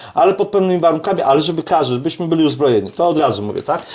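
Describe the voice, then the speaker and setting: A man speaks with ordinary pitch variation. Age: 60s. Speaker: self-defence and shooting instructor. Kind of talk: casual chat. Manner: animated; halting.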